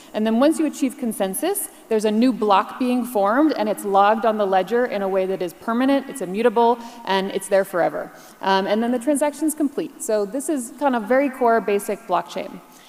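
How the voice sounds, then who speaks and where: A woman's fairly high voice, fairly quick and lively in intonation, over noticeable background noise. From US Northeast, New York. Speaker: keynote speaker, blockchain partner at a tech firm. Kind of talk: conference keynote presentation. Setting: stage with audience. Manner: fast; animated.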